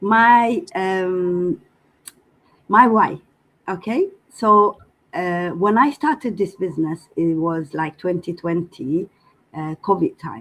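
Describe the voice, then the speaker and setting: Lively intonation from a woman at medium pitch, at a very slow pace with long, frequent pauses. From Eritrea. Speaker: business community member. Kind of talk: personal testimony in group video call. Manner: hesitant, many fillers.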